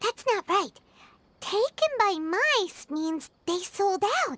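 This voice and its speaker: A squeaky, put-on character voice at an extremely high pitch drags along at a very slow pace. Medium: video game. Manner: chatty, reactive.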